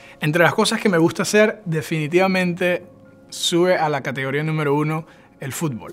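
With faint music behind him, a man speaks at a fairly quick pace in a high pitch, his pitch varying in an ordinary way. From Venezuela, Barquisimeto; Venezuela. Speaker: church worker; interviewee. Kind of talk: personal testimony. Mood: warm, enthusiastic. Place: home room.

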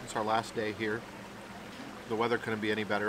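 A man speaks over noticeable background noise, his voice dry with no echo. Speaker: food vlogger. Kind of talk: casual vlog chat. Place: cafe.

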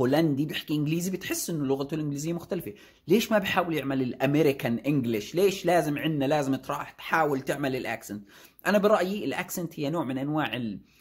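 Against a quiet background, a man with a Jordanian accent talks at a fairly quick pace in a fairly high, somewhat breathy voice, his tone animated and his pitch variation ordinary. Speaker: YouTuber and software developer; YouTuber. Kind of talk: casual vlog talk. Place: office. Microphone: phone near.

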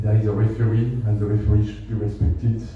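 A man with a French accent, fairly low in pitch, monotone and flat, at a moderate pace, amid strong room echo and light background noise. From France. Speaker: ambassador. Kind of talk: speech. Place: hall.

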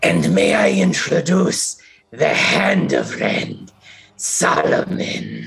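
Shouting in a put-on character voice, a man sounds wheezy and raspy at a very slow pace. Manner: shouting, bloodied.

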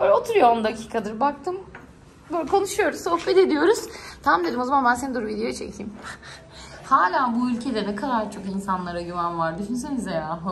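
A woman's fairly high, animated voice at a fairly quick pace, with very wide pitch swings and light background noise. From Turkey. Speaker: travel vlogger. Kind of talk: casual vlog. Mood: warm, affectionate. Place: home room. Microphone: phone near.

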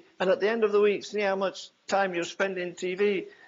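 With a Yorkshire accent, a man speaks at a moderate pace. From England. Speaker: preacher. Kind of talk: sermon preached to a congregation. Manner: emphatic, earnest, fiery. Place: church.

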